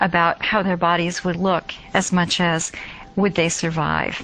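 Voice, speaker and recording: Over noticeable background noise, a woman with an American accent speaks fairly slowly at a fairly low pitch. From United States. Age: 50s. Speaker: nursing professor. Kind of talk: interview.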